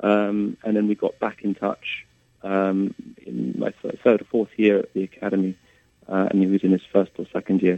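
A man speaks at a moderate pace in a fairly low pitch with fairly even intonation, a normal speaking voice. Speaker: composer and pianist. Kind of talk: interview conversation.

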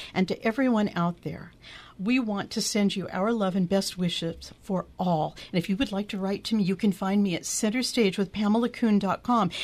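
A woman's somewhat breathy voice at a medium pitch and a moderate pace. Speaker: radio host. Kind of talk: casual chat. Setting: studio. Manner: animated.

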